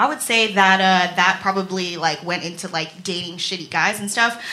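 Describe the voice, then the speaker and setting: Over noticeable background noise, the voice moves at a moderate pace with fairly even intonation. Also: woman. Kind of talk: live stand-up storytelling, confessional and self-deprecating. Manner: nervous, rambling, jittery, self-mocking.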